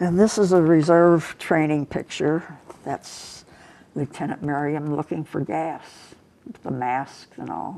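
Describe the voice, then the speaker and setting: Speaking at a fairly slow pace with a Midwestern American accent, a woman with a very deep, low voice and a dark, mellow tone shows ordinary pitch variation and big swings in loudness. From US Midwest, St. Louis. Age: 80s+. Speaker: war veteran. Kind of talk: interview. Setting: office.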